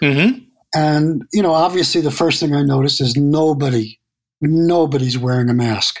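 Using an ordinary speaking voice, a man with an American accent keeps his loudness very even and his pitch variation ordinary. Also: fairly high pitch for a man, moderate pace. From New York City. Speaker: landscape photographer. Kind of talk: interview.

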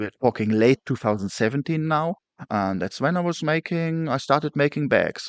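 A man with a German accent speaks at a fairly slow pace with lively intonation. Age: 30s. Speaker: bag maker, upcycler, army veteran. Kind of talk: casual interview. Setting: video call.

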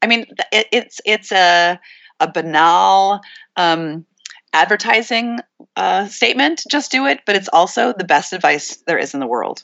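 With an American accent and an unremarkable speaking voice, a woman at medium pitch talks at a fairly slow pace with lively intonation. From Montana. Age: 50s. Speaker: author and art historian. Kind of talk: casual interview.

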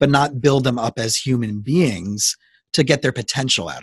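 Speaking at a moderate pace, a man with an American accent has a medium-pitched, somewhat breathy voice with ordinary pitch variation. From South Florida. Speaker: podcast host and therapist. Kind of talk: casual interview.

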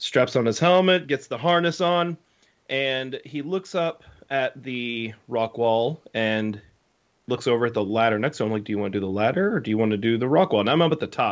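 At a fairly quick pace, a man with an unremarkable speaking voice and a medium pitch talks with lively intonation. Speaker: podcast co-host, camp worker. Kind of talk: casual chat.

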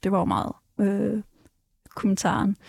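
Recorded dry and close with no echo, a woman speaks in a somewhat breathy voice at a medium pitch. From Denmark, Ballerup. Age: 20s. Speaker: activist. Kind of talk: casual chat. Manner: halting.

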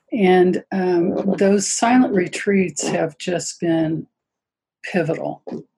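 A woman speaks at a very slow pace in a somewhat breathy voice. Her pitch is medium, with ordinary pitch variation. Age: 70s. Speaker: yoga teacher. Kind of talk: casual interview chat. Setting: video call.

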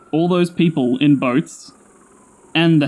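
Very slowly and with fairly even intonation, a man speaks with an Australian accent. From Australia, Sydney. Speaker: storyteller. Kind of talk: scripted narration.

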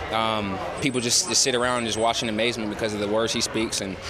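A man talks at a very fast pace and a medium pitch, with monotone, flat intonation. Noticeable background noise runs underneath. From Georgia, US South. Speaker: football player. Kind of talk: interview. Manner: halting.

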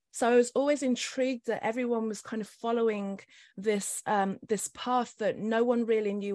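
Here is a woman with a plain, everyday voice at a fairly high pitch. Her intonation is fairly even at a moderate pace, on a very clean recording with a silent background. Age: 50s. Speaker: spiritual life coach. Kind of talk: interview.

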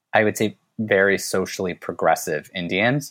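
In a plain, everyday voice with an American accent, the speaker talks at a moderate pace with ordinary pitch variation, recorded very cleanly over a silent background. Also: man. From United States. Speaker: podcast guest sharing coming-out story. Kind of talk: casual interview.

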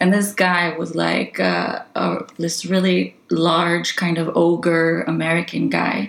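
Over noticeable background noise, a woman talks at a very slow pace with hardly any pauses. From Israel. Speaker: spearfisher. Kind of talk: casual chat.

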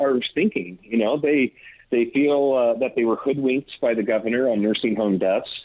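A man at a moderate pace, medium-pitched, in an ordinary speaking voice. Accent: American. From Northern California. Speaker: political journalist. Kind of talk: interview.

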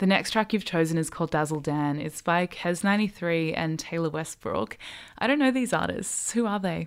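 A woman with an Australian accent, fairly low in pitch, at a moderate pace on a very clean recording with a silent background. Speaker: radio host. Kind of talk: interview. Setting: radio studio.

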